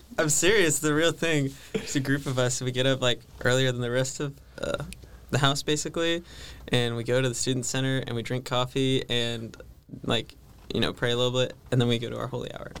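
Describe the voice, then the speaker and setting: With an American accent, a man speaks fairly quickly in a plain, everyday voice at medium pitch with fairly even intonation. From California. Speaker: seminarian. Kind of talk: casual chat.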